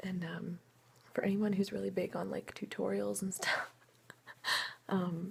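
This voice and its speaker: Soft-spoken and relaxed in tone, a woman talks at a medium pitch. Her pace is moderate. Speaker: ASMR creator. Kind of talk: ASMR soft-spoken get-ready-with-me talk to camera. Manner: soft-spoken, relaxed, friendly.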